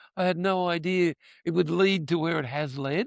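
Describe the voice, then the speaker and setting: A man with a high pitch speaks with an Australian accent. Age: 70s. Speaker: voice actor and retired school principal. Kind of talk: casual interview. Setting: convention floor. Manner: halting.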